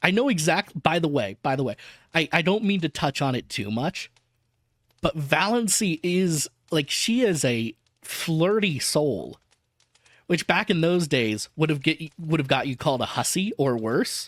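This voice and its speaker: On a very clean recording with a silent background and a dry, close sound with no echo, a man with an American accent speaks at a fairly slow pace, his pitch fairly high and his intonation lively. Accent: Southern US accent, slipping in. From US South. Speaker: VTuber reading an audiobook. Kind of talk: reading aloud with casual commentary.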